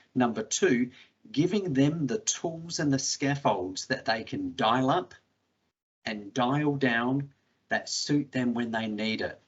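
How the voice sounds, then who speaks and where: A man with an Australian accent speaks very slowly at a medium pitch, his intonation lively. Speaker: education technology specialist. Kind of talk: webinar panel talk.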